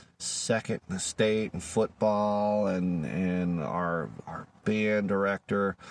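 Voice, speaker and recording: A man speaks at a very slow pace with fairly low pitch. The sound is dry and close, with no echo. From Louisiana. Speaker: YouTuber, father. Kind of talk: personal vlog monologue. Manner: halting, repeats words.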